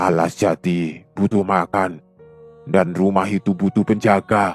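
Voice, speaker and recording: Putting on a character voice, a man speaks fairly slowly, very deep and low and shaky, with fairly even intonation and faint music in the background. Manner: commanding.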